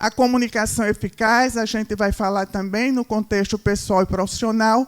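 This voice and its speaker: In a dry, close sound with no echo, a woman speaks at a moderate pace with a fairly high pitch and monotone, flat intonation. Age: 60s. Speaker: marketing speaker. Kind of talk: lecture.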